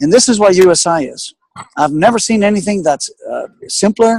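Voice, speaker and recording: A man's high-pitched voice with lively intonation and a dry, close sound with no echo. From Greece, Athens. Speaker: business guest speaker. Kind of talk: webinar interview. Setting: online webinar call. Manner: fast.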